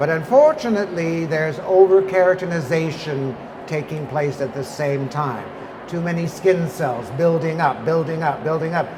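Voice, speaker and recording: A high-pitched man at a moderate pace, with audible room echo and noticeable background noise. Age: 70s. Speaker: skincare company founder and lecturer. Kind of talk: lecture. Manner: animated.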